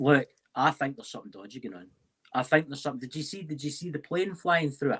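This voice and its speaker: Very fast and fairly high-pitched, a man talks with a Scottish accent. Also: ordinary pitch variation, big swings in loudness. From Scotland. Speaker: paranormal investigator. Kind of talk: casual chat.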